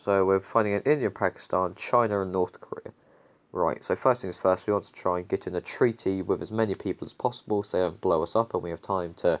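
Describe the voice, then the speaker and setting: Ordinary pitch variation in a man's fairly low-pitched voice. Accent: British. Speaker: gaming YouTuber. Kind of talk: gameplay commentary. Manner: casual, hesitant with fillers.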